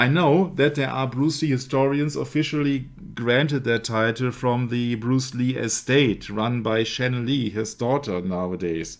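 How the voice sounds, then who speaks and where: With a German accent, a man speaks at a fairly slow pace and medium pitch, with ordinary pitch variation and hardly any pauses, in a very clean recording against a silent background. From Germany. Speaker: researcher of religious media topics. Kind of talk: casual discussion.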